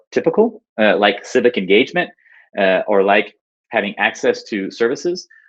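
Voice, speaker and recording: The speaker is a man. He has an American accent. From United States. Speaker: urban designer and engineer. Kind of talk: conference talk. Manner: frequent filler words (uh, um).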